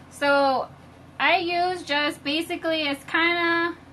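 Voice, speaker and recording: Bright and sharp in tone, this woman's voice is raised and projected. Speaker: home baker demonstrating on live video. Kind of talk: live-stream tutorial. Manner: loud, shouting a little.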